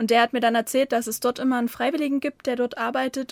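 The recording is very clean, with a silent background and a dry, close sound without echo. A woman with an unremarkable speaking voice talks at a fairly high pitch with fairly even intonation. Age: 20s. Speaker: former volunteer. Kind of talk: casual interview. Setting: studio, separate rooms behind glass, headphones.

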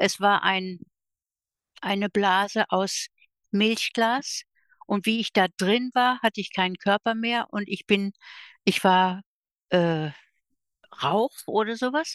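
A woman speaks at a very slow pace with long, frequent pauses, her medium pitch moving with ordinary variation in a dry, close recording with no echo and a quiet background. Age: 70s. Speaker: end-of-life companion. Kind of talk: personal storytelling in interview. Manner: animated.

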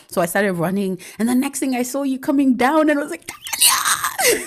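A woman shouting with very wide pitch swings, over noticeable background noise. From Nigeria. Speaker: podcast host. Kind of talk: casual chat.

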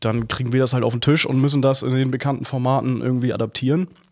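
Intonation from this man is fairly even. He delivers his words very fast. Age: 30s. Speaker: film editor and motion designer. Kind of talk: casual interview. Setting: studio, sitting face to face. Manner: halting, many fillers.

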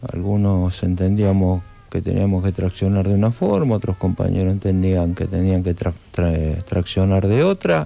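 The speech moves at a fairly slow pace with an Argentine accent. Loudness stays very even, and the intonation is fairly even too. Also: man. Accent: Argentine Spanish (Rioplatense). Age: 60s. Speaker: trade union leader and political candidate. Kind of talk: radio interview. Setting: radio studio.

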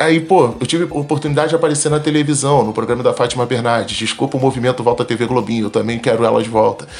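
A man talks very fast at a medium pitch, with ordinary pitch variation and hardly any pauses. Noticeable background noise runs underneath. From Rio de Janeiro, Complexo do Alemão favela. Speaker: mechanical engineer and startup founder. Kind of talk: interview. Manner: casual, slangy.

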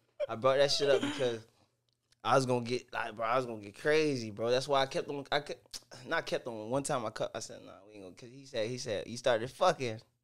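Very fast pace with big swings in loudness. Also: man, medium pitch for a man. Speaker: comedian. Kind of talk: casual chat.

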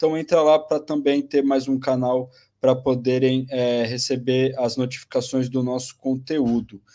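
This man's voice sits at a medium pitch with a dark, mellow tone. He keeps a moderate pace with monotone, flat intonation. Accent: Brazilian. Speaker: podcast host. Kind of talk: live-stream hosting. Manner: halting, many fillers.

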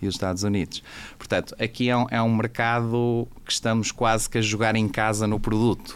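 Speaking at a fairly quick pace, a man keeps a medium pitch, monotone, flat intonation and very even loudness. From Portugal. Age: 40s. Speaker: coffee company executive. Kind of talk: casual interview. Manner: hesitant, many fillers.

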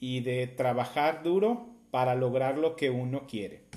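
A very slow pace with ordinary pitch variation. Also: man. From Mexico, southern Jalisco. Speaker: podcast host. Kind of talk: motivational monologue. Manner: hesitant, many fillers.

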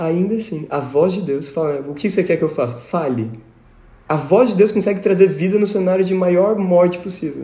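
The voice has a dark, mellow tone and ordinary pitch variation. Long, frequent pauses break it up, and room echo is audible. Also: man. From Brazil, São Paulo state (Tatuí). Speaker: teacher and musician. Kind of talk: casual Bible study discussion.

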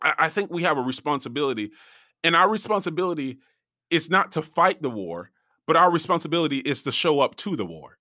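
A man's fairly high-pitched voice with vocal fry and a bright, sharp tone, at a fairly quick pace, in a very clean recording with a silent background. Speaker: podcast host and preacher. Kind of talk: sermon. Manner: filler words, repeats words.

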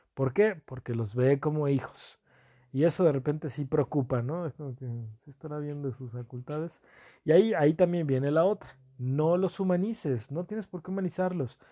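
A man talks at a moderate pace in a fairly high pitch. His loudness swings widely. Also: ordinary pitch variation. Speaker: podcast host. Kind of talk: casual monologue. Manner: hesitant, many fillers.

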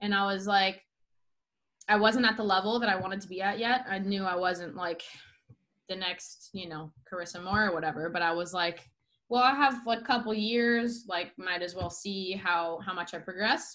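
A woman with a Southern Californian accent speaks at a moderate pace, her medium-pitched voice bright and sharp in tone with ordinary pitch variation. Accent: Southern Californian American. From San Diego, California. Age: 20s. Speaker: professional surfer. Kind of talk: casual interview chat.

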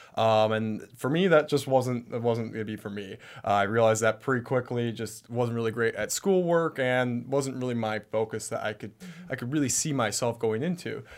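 A man at medium pitch with an Upper Midwest accent, moderate pace and ordinary pitch variation, on a very clean recording with a silent background. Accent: Upper Midwest American. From Michigan, US Midwest. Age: 20s. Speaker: entrepreneur, business founder. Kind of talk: interview, personal story. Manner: hesitant, many fillers.

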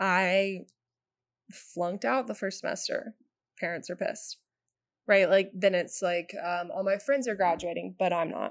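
This woman's voice sits at a medium pitch with ordinary pitch variation. She talks fairly slowly, leaving long, frequent pauses. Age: 20s. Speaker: bartender and calligrapher. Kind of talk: casual chat. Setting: studio.

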